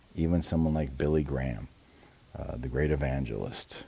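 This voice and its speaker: A soft-spoken man with a dark, mellow tone. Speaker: pastor. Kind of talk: devotional talk.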